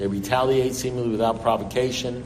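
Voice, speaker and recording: With a New York accent, a man talks at a fairly quick pace with ordinary pitch variation. Audible room echo and noticeable background noise surround him. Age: 70s. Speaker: recovery speaker. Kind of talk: recovery talk.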